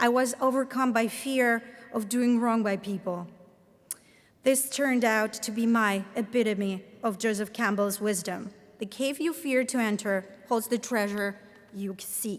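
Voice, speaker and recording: A woman speaks with a Latvian accent at a fairly high pitch. Her intonation is fairly even and her pace fairly slow. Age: 30s. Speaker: professor. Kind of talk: commencement speech. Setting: stage with audience.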